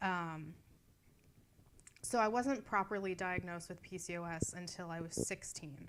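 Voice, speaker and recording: A woman's fairly low voice in an American accent. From US, Erie, Pennsylvania. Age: 20s. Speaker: vlogger. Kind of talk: personal vlog. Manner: hesitant, many fillers.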